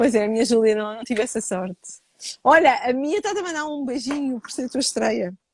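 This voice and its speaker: A woman speaks in a high pitch with a European Portuguese accent. The sound is dry and close, with no echo. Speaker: live show host. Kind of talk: casual live-stream interview. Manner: fast; swallows words.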